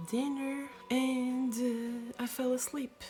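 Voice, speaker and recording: Music plays in the background as the speaker talks with a non-native accent. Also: woman. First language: not English. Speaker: YouTuber. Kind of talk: storytelling. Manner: halting; casual.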